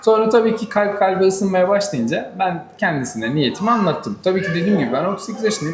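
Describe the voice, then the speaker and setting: Fairly quick speech with lively intonation, amid noticeable background noise and audible room echo. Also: man. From Turkey, Manisa. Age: 30s. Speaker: groom-to-be, automotive worker. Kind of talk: interview. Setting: cafe.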